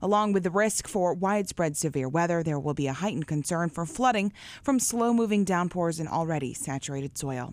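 A woman with an unremarkable speaking voice talks at a fairly quick pace, her intonation lively and hardly any pauses between words. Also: fairly low pitch for a woman. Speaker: radio news anchor. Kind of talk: news reading. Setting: studio.

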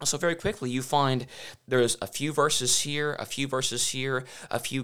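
A man with a Southern US accent. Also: very clean recording, silent background. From US South, Memphis, Tennessee. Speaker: evangelist, former scientist. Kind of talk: interview.

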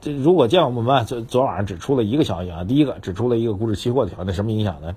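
A man with a medium-pitched voice speaks in a somewhat breathy way. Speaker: financial commentator. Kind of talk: casual market commentary. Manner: conversational, many filler particles.

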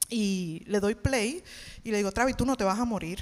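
Speaking at a fairly quick pace, a woman has a fairly high pitch, ordinary pitch variation and an ordinary speaking voice. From Puerto Rico, Levittown. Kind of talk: testimony. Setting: church stage with audience.

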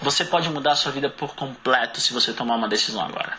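A man at a very fast pace, fairly high pitch, energetic tone, over noticeable background noise. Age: 20s. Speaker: multi-level marketing leader. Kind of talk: motivational talk. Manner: emphatic, repetitive.

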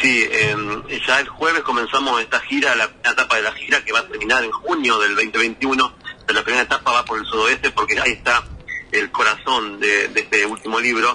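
A man speaking at a fairly quick pace amid noticeable background noise. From Argentina, Entre Ríos (Paraná). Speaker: travel writer. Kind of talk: radio interview.

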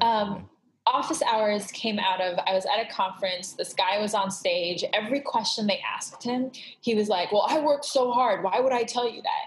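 A woman with an Iranian accent, fairly high in pitch, at a fairly quick pace with ordinary pitch variation. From Southern California (Glendale), Iranian refugee family. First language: Farsi. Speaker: creative consultant. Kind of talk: interview conversation. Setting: video call.

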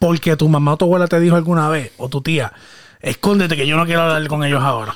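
A man talks at a very fast pace with a fairly high pitch and fairly even intonation. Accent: Puerto Rican. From Puerto Rico (Guayama). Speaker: podcast host. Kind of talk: casual chat.

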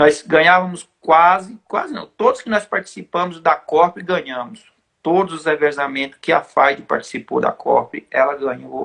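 A man at high pitch, fairly slow pace, ordinary pitch variation and hardly any pauses. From Brazil, São Paulo. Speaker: trail runner, former champion. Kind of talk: casual chat. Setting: live stream.

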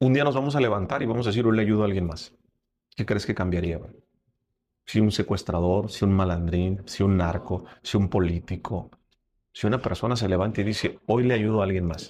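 In a Mexican accent, a man speaks at a fairly quick pace with a fairly low pitch. His pitch variation is ordinary, and the background is quiet. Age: 30s. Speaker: podcast host and speaker. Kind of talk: casual interview chat.

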